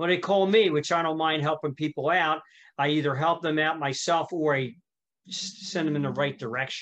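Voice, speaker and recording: With a Philadelphia accent, a man speaks at a fairly quick pace. His pitch is fairly high and his intonation fairly even. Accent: Northeast Philly. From Northeast Philadelphia. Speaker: music school owner and musician. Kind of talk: casual podcast interview.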